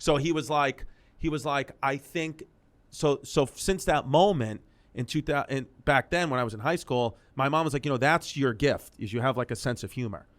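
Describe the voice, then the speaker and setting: With a New York accent and a fairly high pitch, a man speaks in an animated tone with ordinary pitch variation. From New York City, Queens. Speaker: comedian. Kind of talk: casual interview chat. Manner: fast, animated.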